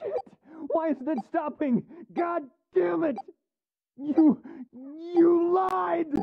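The voice is high-pitched and very slow, with long, frequent pauses.

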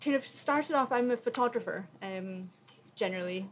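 A woman talks over light background noise. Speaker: panelist. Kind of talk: panel talk. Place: tent. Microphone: podium.

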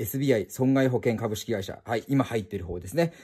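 A man's tone is dark and mellow, set against a quiet background. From Japan. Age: 20s. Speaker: car and motorcycle YouTuber; motorcycle YouTuber. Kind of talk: explanatory vlog. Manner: polite, filler-heavy.

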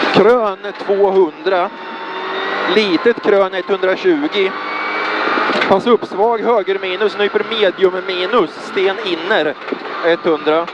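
Speech comes at a very slow pace in a dry recording with no echo and noticeable background noise. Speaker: rally co-driver. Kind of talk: rally co-driver reading pacenotes aloud during a stage. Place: car. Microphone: helmet.

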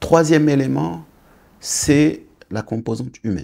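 Over a quiet background, a man with vocal fry talks at a fairly slow pace with lively intonation. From Senegal, raised in India, Malaysia and Australia, then Morocco. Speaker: business executive; interview guest. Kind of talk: interview. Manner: halting, frequent hesitations. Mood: calm, reflective. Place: studio. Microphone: lapel.

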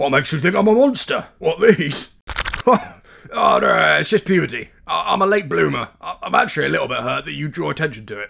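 In a put-on character voice, a man speaks at a high pitch. His pace is fairly quick. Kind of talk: comic overacting. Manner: defensive, chummy, fast-talking.

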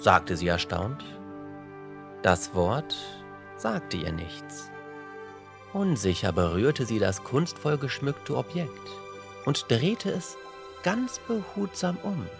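A man's fairly low, calm voice at a very slow pace, with very wide pitch swings, long, frequent pauses and music in the background. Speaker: storyteller. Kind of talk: bedtime fairy tale reading.

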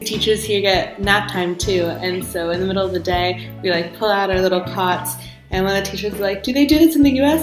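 The speaker has an American accent and ordinary pitch variation. Clear music plays in the background. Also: woman. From Dallas, Texas. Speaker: English teacher in China. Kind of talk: casual talk to camera. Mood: cheerful, upbeat. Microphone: webcam.

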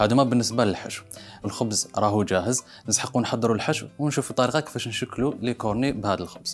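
With faint music in the background, a man talks with ordinary pitch variation. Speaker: TV cooking show host. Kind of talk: tutorial. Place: studio.

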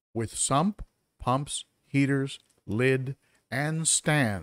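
Over a quiet background, a man talks at a very slow pace, the sound dry with no echo. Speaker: aquarium hobby streamer. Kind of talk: casual live stream chat. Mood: amused, animated. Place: home room. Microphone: studio mic.

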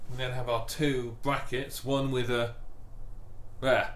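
Loud background noise surrounds a man speaking at a moderate pace. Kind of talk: tutorial. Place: workshop.

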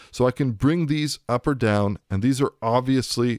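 A man with medium pitch speaks at a moderate pace with lively intonation. The sound is dry and close with no echo, on a very clean recording with a silent background. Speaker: audio product demonstrator. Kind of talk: tutorial.

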